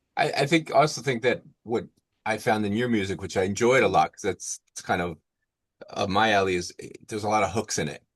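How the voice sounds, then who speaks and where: Talking at a fairly quick pace in an unremarkable speaking voice, a man has a fairly low pitch, ordinary pitch variation and big swings in loudness, with a dry, close sound and no echo. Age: 60s. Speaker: podcast host. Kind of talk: podcast interview.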